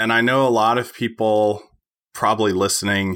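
Bright, sharp tone comes from a man at a moderate pace. The recording is very clean, with a silent background. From Tennessee. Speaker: landscape photographer and podcaster. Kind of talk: casual interview chat.

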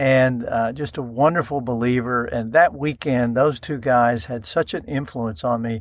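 In a very clean recording with a silent background, a man with a Texan accent talks at a moderate pace with hardly any pauses, using a medium pitch and ordinary pitch variation. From North Texas. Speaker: ministry CEO and radio host. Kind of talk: interview.

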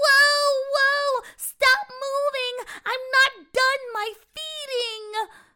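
A woman shouts in a put-on character voice at an extremely high pitch. She draws her words out at a very slow pace. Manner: yelling.

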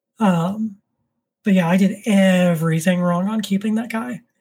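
A woman with an American accent speaks at a fairly slow pace, with a medium pitch and a somewhat breathy sound. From Florida, Orlando. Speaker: tarantula keeper and YouTuber. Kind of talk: casual interview chat. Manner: monotone.

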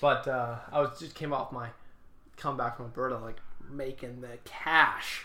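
A man at medium pitch and moderate pace, bright and sharp in tone, monotone and flat, with big swings in loudness and audible room echo. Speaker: beer podcast co-host. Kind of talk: casual chat. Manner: stuttering at times.

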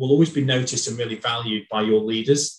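A man speaks with a northern English accent. His voice is somewhat breathy, with fairly even intonation. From northern England. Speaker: HR executive. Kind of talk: casual interview.

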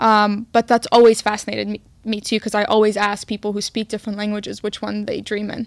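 A woman talks at a very fast pace with hardly any pauses, her fairly high voice monotone and flat. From Queens, New York (immigrated from Egypt as a child). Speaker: podcast co-host. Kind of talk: casual chat.

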